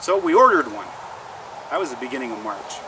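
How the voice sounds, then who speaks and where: Against noticeable background noise, a man's voice moves in very wide pitch swings. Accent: Canadian. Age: 60s. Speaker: outdoor lifestyle vlogger. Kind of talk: casual product review vlog.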